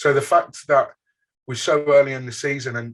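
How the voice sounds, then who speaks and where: A man speaks in a strong Birmingham accent, his voice somewhat breathy. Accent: Birmingham (Brummie), strong. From England, Birmingham. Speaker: football fan podcaster. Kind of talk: casual interview chat.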